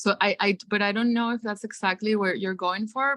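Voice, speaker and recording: A woman talks fairly quickly at a medium pitch, her tone bright and sharp. The sound is dry and close, with no echo. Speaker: guest artist. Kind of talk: casual feedback in online class. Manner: fast; halting, many restarts.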